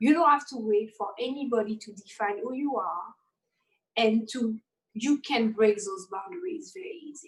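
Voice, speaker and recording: A woman with a fairly high, somewhat breathy voice speaks at a moderate pace, her intonation lively and her loudness swinging widely. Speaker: interview guest. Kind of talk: live panel interview.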